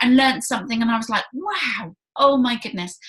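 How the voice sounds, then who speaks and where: A woman with a Southern English accent speaks fairly quickly in a high pitch. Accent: British, Hampshire. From southern England, Hampshire. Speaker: early years consultant, interviewer. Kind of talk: interview.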